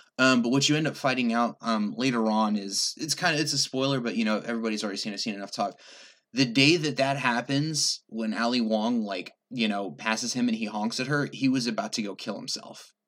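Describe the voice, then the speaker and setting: Fairly quick delivery in a plain, everyday voice, pitch moving in an ordinary way. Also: man, medium pitch for a man. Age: 30s. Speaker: guest co-host. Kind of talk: casual chat.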